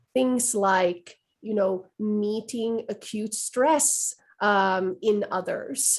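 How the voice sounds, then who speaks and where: Speaking with a Swedish accent at a very slow pace, a woman uses a fairly high pitch and ordinary pitch variation. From western Finland. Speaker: trauma-informed care educator. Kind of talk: webinar Q&A discussion.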